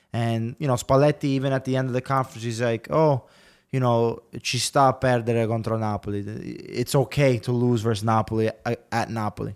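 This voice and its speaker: This man speaks in a plain, everyday voice at medium pitch and a fairly quick pace, his intonation fairly even, on a very clean recording with a silent background and a dry, close sound without echo. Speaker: football pundit. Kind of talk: casual sports panel chat.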